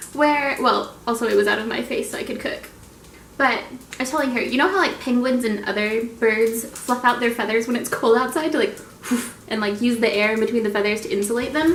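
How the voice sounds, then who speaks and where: An animated woman with an American accent speaks at a fairly quick pace, high in pitch with ordinary pitch variation. Audible room echo and noticeable background noise fill the recording. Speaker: vlogger. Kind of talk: casual vlog talk. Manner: fast.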